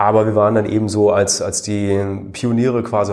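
Against noticeable background noise and audible room echo, a man with a fairly low pitch talks at a fairly quick pace. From Germany. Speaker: serial founder and investor. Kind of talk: interview.

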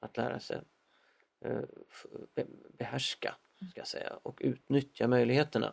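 Talking at a fairly slow pace, a man leaves long, frequent pauses, and his loudness swings widely. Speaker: singer. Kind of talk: interview.

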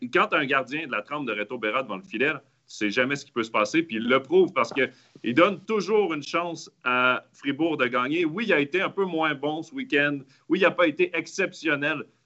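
An ordinary speaking voice from a man, fairly high in pitch, with lively intonation and a fairly quick pace. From Quebec. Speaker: ice hockey analyst. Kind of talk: casual panel discussion.

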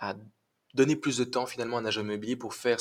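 Fairly even intonation runs through a man's mid-pitched voice. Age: 30s. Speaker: real estate entrepreneur. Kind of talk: interview. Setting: remote call. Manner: halting.

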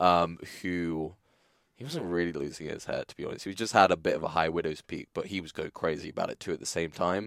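On a very clean recording with a silent background, a man with a very deep, low pitch talks at a very fast pace, his intonation fairly even but his loudness swinging widely. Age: 20s. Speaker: social media creator. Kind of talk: casual chat. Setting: outdoors.

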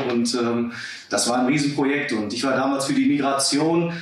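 Fairly high pitch from a man at a moderate pace, fairly even intonation, audible room echo and noticeable background noise. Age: 40s. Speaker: online retail executive. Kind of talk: podcast interview. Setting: office. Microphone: poor sound quality, first podcast.

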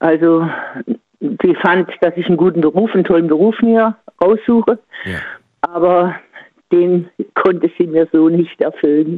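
Her pace fairly slow and her intonation fairly even, a woman speaks with long, frequent pauses. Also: fairly low pitch for a woman. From Offenburg, Baden. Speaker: caller, sports teacher. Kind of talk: casual phone chat. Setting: phone call.

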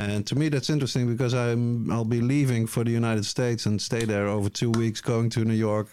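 Dark, mellow tone from a man with a Dutch accent, at medium pitch, monotone and flat. He talks at a fairly quick pace with hardly any pauses and very even loudness. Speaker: podcast host. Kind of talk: casual chat. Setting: studio.

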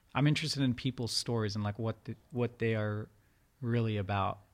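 On a very clean recording with a silent background, a man with a plain, everyday voice and an American accent speaks at a fairly quick pace, his medium pitch carrying fairly even intonation. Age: 30s. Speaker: painter. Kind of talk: interview.

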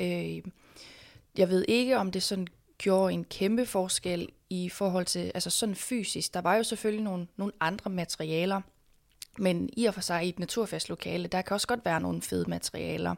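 Moderate-paced speech from a woman, very cleanly recorded against a silent background. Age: 20s. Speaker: schoolteacher. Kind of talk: interview. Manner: halting, many fillers and repetitions.

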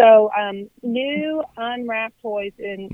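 At a medium pitch, a woman speaks with ordinary pitch variation. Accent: Southern US. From US South (Hendersonville, Tennessee). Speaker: nonprofit executive. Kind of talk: radio interview.

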